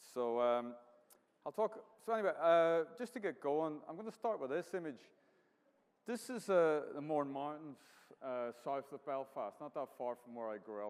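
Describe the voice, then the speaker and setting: A man's fairly high voice with a Northern Irish accent, very wide pitch swings and long, frequent pauses. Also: moderate pace. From Northern Ireland, County Down. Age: 50s. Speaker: artist. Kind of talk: artist talk with slides. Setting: venue with live audience.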